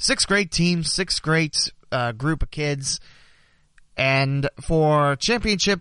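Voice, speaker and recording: The speaker has a normal speaking voice, with lively intonation at a fairly slow pace. The background is quiet. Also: man. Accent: American. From southwest Ohio, Preble County. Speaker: local sports podcast host and hockey announcer. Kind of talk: sports news roundup.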